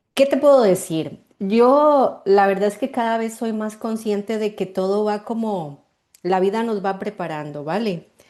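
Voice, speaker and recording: A woman with a Costa Rican accent speaks at a fairly slow pace in a dark, mellow tone against a quiet background. Her pitch is medium, with ordinary variation. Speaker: marketing mentor and artisan cosmetics maker. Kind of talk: interview. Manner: halting, with repetitions and fillers.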